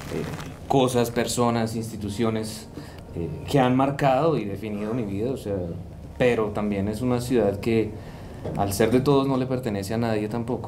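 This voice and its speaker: A man speaks at a moderate pace with fairly even intonation. There is light noise in the background. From Colombia, Bogotá. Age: 20s. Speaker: historian; interviewee. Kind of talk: interview. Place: studio. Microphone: studio mic.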